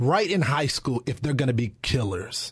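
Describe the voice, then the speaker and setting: In an American accent, a man talks with a somewhat breathy voice. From Texas. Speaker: political commentator. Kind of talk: lively debate. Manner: energetic.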